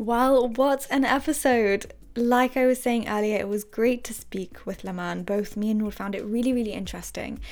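A woman with a plain, everyday voice and a fairly high pitch talks at a moderate pace with fairly even intonation and hardly any pauses. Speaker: podcast host. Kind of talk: casual chat.

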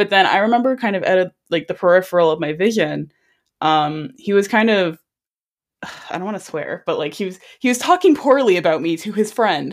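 On a very clean recording with a silent background, a woman with a Canadian accent and medium pitch talks at a fairly quick pace with lively intonation. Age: 20s. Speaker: podcast host, youth advocate. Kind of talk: interview.

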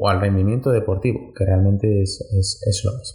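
A man with a fairly low voice speaks in a dark, mellow tone that is somewhat breathy. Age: 20s. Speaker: personal trainer and sports nutritionist. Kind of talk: solo podcast monologue. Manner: halting, many repetitions and fillers. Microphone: poor audio quality.

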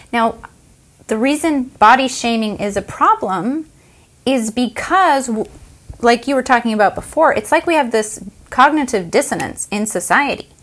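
There's lively intonation in this woman's voice. She speaks with an American accent. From United States. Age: 40s. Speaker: podcast co-host. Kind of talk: casual chat.

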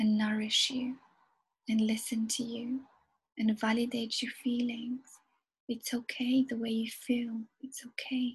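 The speaker's tone is calm and soothing. Delivery is fairly slow, with long, frequent pauses. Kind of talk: guided hypnosis meditation. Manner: slow, calm, soothing, gentle.

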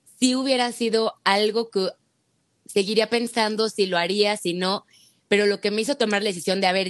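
In a plain, everyday voice, a woman speaks at a moderate pace with medium pitch and ordinary pitch variation. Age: 30s. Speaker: egg-freezing patient sharing her experience. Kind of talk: testimony in casual chat.

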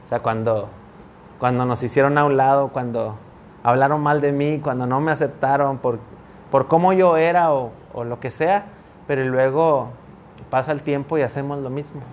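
The man talks at a moderate pace with fairly even intonation. Long pauses come often. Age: 30s. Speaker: pastor. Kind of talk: casual chat. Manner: halting, repeats words.

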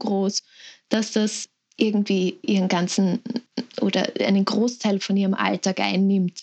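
At a fairly slow pace, a woman talks in a somewhat breathy voice. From Lower Austria. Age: 20s. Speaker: sibling of a person with Down syndrome. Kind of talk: interview.

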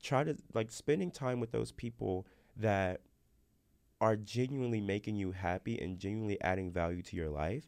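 A man speaks in a normal speaking voice at a fairly low pitch with lively intonation. His pace is moderate, and the background is quiet. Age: 20s. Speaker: college student podcast host. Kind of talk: casual chat.

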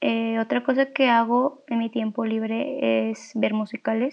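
Pitched fairly high, a woman talks with fairly even intonation in a plain, everyday voice. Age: 20s. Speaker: student. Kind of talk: self-introduction.

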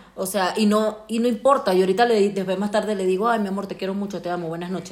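A woman speaks at a medium pitch and a very fast pace. Her intonation stays fairly even against noticeable background noise. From Venezuela. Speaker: podcast co-host. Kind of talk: casual chat. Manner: loud.

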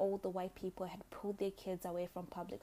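A woman at medium pitch with a Zimbabwean accent, dark, mellow tone and vocal fry, in a monotone, flat intonation at a fairly quick pace. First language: Shona. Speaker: podcast host. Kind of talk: solo monologue.

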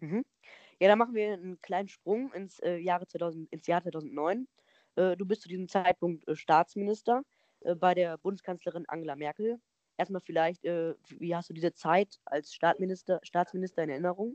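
A woman with an ordinary speaking voice, fairly low in pitch, speaks at a moderate pace with ordinary pitch variation, the sound dry and close with no echo. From Lower Rhine, Germany (Neuss). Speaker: podcast host. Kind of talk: interview.

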